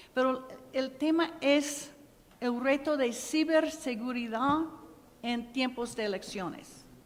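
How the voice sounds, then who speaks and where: With an English accent, a woman speaks very slowly at a high pitch, using ordinary pitch variation, and the room echo is audible. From US Midwest (Ohio). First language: English (speaking Spanish). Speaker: program director at a nonprofit. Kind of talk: conference panel talk. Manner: halting.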